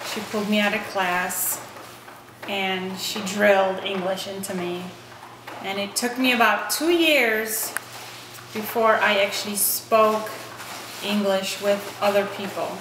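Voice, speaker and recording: A woman with a Polish accent and medium pitch speaks at a fairly slow pace with fairly even intonation and long, frequent pauses, amid noticeable background noise and audible room echo. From Poland, moved to US at age eleven. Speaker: interviewee, Polish immigrant. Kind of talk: interview.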